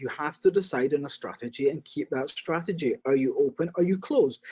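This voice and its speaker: A man's high-pitched voice, dark and mellow in tone, at a very fast pace, with a British accent. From Britain. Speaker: casino real estate investor. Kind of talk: interview.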